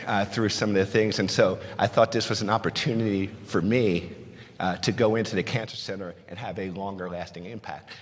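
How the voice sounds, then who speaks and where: A man with a fairly low pitch talks in a slight New Jersey accent. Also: big swings in loudness. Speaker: pharmacist and conference speaker. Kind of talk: conference talk. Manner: conversational, frequent fillers.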